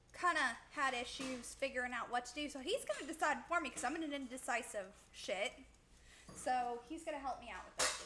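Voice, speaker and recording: A woman's raised, projected voice, high-pitched, with ordinary pitch variation at a fairly quick pace. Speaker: vtuber streamer cooking on stream. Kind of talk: casual cooking livestream chat.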